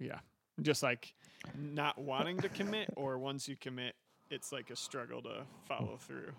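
A male voice with vocal fry, moderate pace, ordinary pitch variation and long, frequent pauses. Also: medium pitch for a man. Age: 30s. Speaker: podcast host. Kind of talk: interview. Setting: studio.

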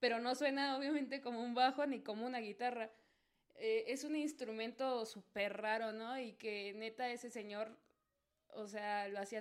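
Speaking in a Mexico City accent, a woman holds a fairly even intonation at a fairly high pitch. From Mexico City (Azcapotzalco). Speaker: guest, salsa fan. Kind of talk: casual chat.

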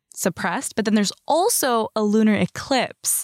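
Here is a woman with an ordinary speaking voice, moderate pace and ordinary pitch variation. The sound is dry and close with no echo, in a very clean recording with a silent background. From Canada, Surrey BC. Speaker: podcast co-host. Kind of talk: casual chat.

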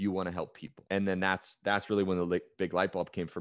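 A man speaks with a Californian accent in a very deep, low pitch. His intonation is monotone and flat. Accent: Californian American. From US West Coast, San Francisco Bay Area. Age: 20s. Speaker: performance coach. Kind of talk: interview.

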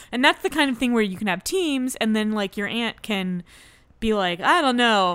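In a very clean recording with a silent background, a woman with an ordinary speaking voice talks at a moderate pace in a fairly high pitch, her intonation lively. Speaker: board game podcast co-host. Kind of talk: casual chat. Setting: studio.

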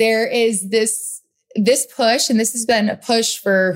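With an American accent, a woman at medium pitch uses a normal speaking voice, talking at a fairly slow pace with fairly even intonation. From US Northeast, Rhode Island. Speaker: podcast host, motivational speaker. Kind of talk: solo podcast monologue. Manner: casual, conversational.

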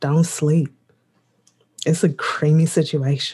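The speaker is a woman with an American accent. There is a slight breathiness to her voice. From US Midwest. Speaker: podcast co-host. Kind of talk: casual chat. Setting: video call.

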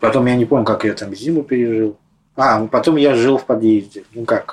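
A man talks at a fairly quick pace with medium pitch. He has an ordinary speaking voice. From Moscow. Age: 40s. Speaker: homeless man. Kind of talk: interview.

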